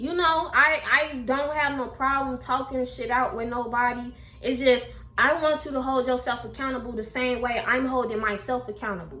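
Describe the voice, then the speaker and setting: In an animated tone, a woman with a high voice speaks at a moderate pace with ordinary pitch variation, audible room echo and noticeable background noise. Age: 20s. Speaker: YouTuber. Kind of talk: casual chat.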